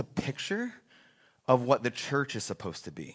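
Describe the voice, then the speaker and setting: A man talks with lively intonation in a bright, sharp tone. The background is quiet. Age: 40s. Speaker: pastor. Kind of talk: sermon. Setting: church. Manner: halting.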